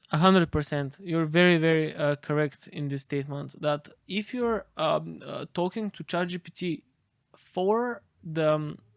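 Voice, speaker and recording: A man's fairly high voice in a Bulgarian accent, fairly slow, with ordinary pitch variation and big swings in loudness, dry and close with no echo on a very clean recording with a silent background. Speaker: AI expert. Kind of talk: interview.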